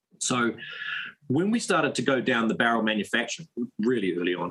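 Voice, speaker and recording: A man with a New Zealand accent speaks at medium pitch in a bright, sharp tone with lively intonation. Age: 30s. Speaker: firearms company founder. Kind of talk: casual interview.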